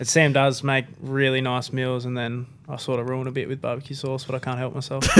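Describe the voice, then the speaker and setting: Against noticeable background noise, a man with an Australian accent speaks at a fairly quick pace and a medium pitch in monotone, flat intonation. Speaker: professional footballer. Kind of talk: podcast interview.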